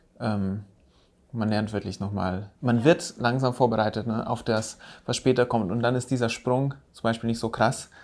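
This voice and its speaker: Recorded very cleanly against a silent background, a man speaks in a plain, everyday voice at medium pitch, moderate pace and with fairly even intonation. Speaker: podcast host, landscape architect. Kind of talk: casual chat.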